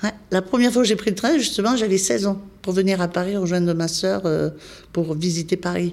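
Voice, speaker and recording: This woman has an ordinary speaking voice at a medium pitch, with ordinary pitch variation. She keeps a moderate pace and very even loudness. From southwestern France, Spanish-born parents. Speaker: volunteer nurse. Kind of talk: interview.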